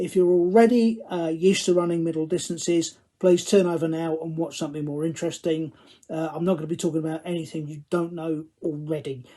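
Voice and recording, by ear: With a Cockney accent, a man speaks in a fairly high, dark, mellow voice with fairly even intonation. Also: fairly quick pace. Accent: Cockney, London English.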